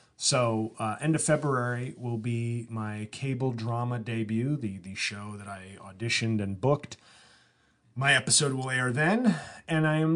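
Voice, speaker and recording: With ordinary pitch variation, this man keeps to a moderate pace. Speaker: comedian and podcast host. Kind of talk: solo podcast monologue. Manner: halting, many fillers and restarts.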